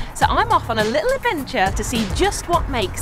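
Over clear background music, a woman speaks at a moderate pace in a dry sound with no echo. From Birmingham, England. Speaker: TV presenter. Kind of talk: travel documentary narration. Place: garden.

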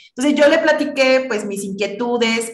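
A woman talks at a moderate pace, with audible room echo around her voice. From Mexico, Tabasco. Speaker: physicist and high school teacher; high school teacher. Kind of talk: interview. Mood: warm, reflective. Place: home room. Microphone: video call.

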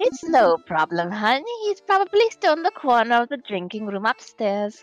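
A woman speaks at a moderate pace in a high pitch with very wide pitch swings. Faint music plays in the background. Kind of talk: voice acting of game dialogue. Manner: warm, folksy, calls people hon.

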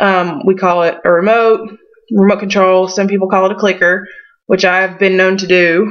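A woman in a Southern US accent, with monotone, flat intonation. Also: medium pitch for a woman, moderate pace. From western North Carolina foothills. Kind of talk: casual talk to camera. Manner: hesitant, many fillers.

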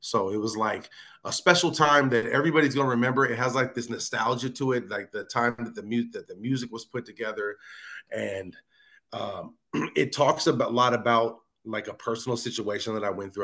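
Speaking with an American accent at a fairly quick pace, a man has a medium pitch, ordinary pitch variation and a bright, sharp tone against a quiet background. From Northern California (Fairfield). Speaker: hip hop artist. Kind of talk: casual interview. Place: home room. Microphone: video call.

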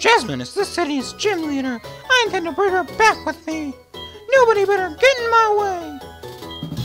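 Clear music plays in the background behind a squeaky, put-on character voice at a moderate pace. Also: man, extremely high pitch for a man.

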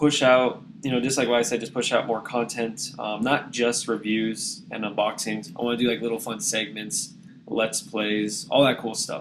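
With hardly any pauses, a man speaks at a moderate pace. His medium-pitched voice keeps fairly even intonation. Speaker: YouTube app reviewer. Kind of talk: casual talk to camera. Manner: monotone.

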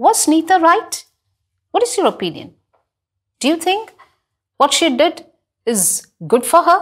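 Against a quiet background, a woman talks at a fairly slow pace. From India, Kerala. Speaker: school English teacher. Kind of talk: televised classroom lesson. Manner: slow, clear teaching style with frequent questions to students. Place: studio. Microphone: lapel.

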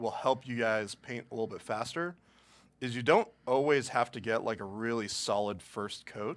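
A man speaks at a moderate pace in a medium-pitched voice. His loudness swings widely. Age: 20s. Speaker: miniature painting stream host. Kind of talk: live painting tutorial stream. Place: studio.

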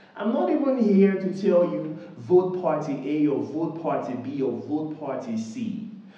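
A man at a fairly slow pace with hardly any pauses, in audible room echo. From Nigeria. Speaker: YouTuber. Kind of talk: direct-to-camera appeal. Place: home room.

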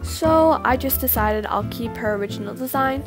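A woman at a moderate pace, music playing in the background. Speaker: digital artist, YouTuber. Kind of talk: casual talk to camera.

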